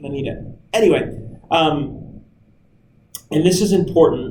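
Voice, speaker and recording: There is audible room echo around a man speaking at a fairly slow pace. His fairly high voice has a dark, mellow tone and ordinary pitch variation. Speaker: camp staff trainer. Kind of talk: recorded training talk. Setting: screen recording with webcam. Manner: loud; casual, energetic.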